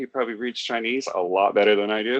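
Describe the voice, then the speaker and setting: This is a man speaking. His pace is moderate. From US West Coast, Los Angeles area. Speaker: online talk show host. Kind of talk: casual chat.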